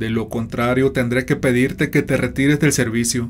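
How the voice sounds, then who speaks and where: A man speaks at a medium pitch with fairly even intonation and a dramatic tone over music in the background. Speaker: horror story narrator. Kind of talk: horror story narration, first-person read-aloud. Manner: suspenseful, dramatic, slow-paced storytelling; grave, tense tone.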